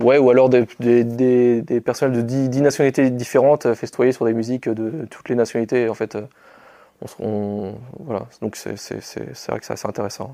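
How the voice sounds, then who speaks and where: At a moderate pace, a man with a dark, mellow tone keeps his intonation fairly even, though his loudness swings widely. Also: medium pitch for a man. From western France, Anjou. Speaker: soldier, sergeant. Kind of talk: interview. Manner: halting, many repetitions and fillers.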